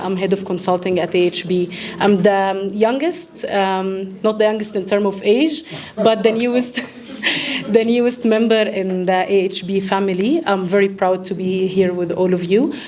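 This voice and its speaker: Speaking with an Egyptian accent, a woman uses a medium pitch and ordinary pitch variation. Her pace is moderate, and there is noticeable background noise. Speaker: event host, medical doctor and consultant. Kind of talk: formal welcome speech. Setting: live event with audience.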